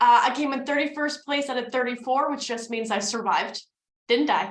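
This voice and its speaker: Speaking at a fairly quick pace, this voice has an American accent and an animated tone. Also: woman. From New Jersey, US (North Jersey). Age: 30s. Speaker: business coach and networking presenter. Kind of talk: presentation / webinar. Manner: fast.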